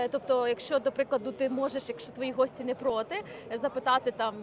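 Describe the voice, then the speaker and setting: Over noticeable background noise, a woman speaks with a high pitch. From Ukraine. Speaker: podcast host. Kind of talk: casual chat. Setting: outdoors.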